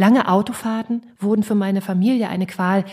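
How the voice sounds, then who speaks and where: A woman speaks at a fairly quick pace with fairly even intonation. Her tone is dark and mellow, and somewhat breathy. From East Germany. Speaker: podcast host and composer. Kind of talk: reading aloud.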